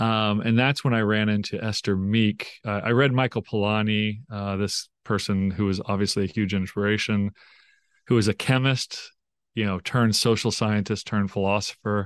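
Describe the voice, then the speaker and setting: In an American accent, a man with a plain, everyday voice speaks at a fairly low pitch and moderate pace with fairly even intonation, the sound dry and close with no echo against a quiet background. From Oklahoma, US. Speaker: professor. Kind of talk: interview.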